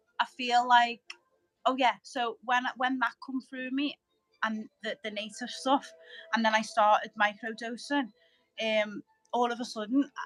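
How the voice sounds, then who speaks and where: Over music in the background, a woman with a high voice speaks at a fairly slow pace with fairly even intonation and long, frequent pauses. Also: dry, close sound with no echo. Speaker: spiritual guest, light language speaker. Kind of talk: casual chat. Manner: stuttering, halting.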